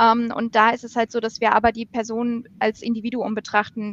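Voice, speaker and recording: A high-pitched woman's voice at a moderate pace, dry and close with no echo. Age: 30s. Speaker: recruiting lead. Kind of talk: casual chat. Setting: video call from home office.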